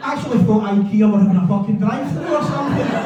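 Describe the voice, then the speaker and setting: Amid noticeable background noise and audible room echo, a man with a west of Scotland accent talks fairly quickly in a high pitch. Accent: west of Scotland Scottish. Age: 50s. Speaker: stand-up comedian. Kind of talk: stand-up. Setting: stage with audience.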